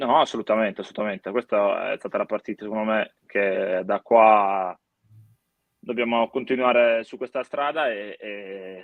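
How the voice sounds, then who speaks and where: In a Sardinian accent, a man talks at a moderate pace. His pitch is medium and his intonation fairly even. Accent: Sardinian-accented Italian. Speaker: football goalkeeper. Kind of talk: interview.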